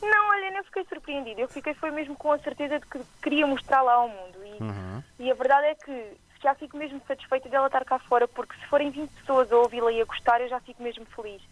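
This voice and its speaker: With an Azorean accent, a high-pitched woman talks at a very fast pace with hardly any pauses. Her intonation is lively, her loudness swings widely, and the sound is dry and close with no echo. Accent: noticeable regional accent, Azorean. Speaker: singer-songwriter. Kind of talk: interview.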